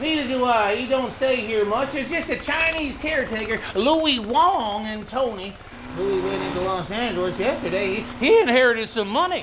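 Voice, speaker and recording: Drawling in a put-on character voice at a moderate pace, the speaker is heard over clear background noise. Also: man, extremely high pitch for a man. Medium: audio drama. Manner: folksy drawl, rustic grammar.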